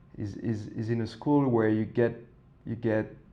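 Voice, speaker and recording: A man with a French accent, medium in pitch, at a moderate pace. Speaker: design professor. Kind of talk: podcast interview. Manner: halting, many fillers and repetitions.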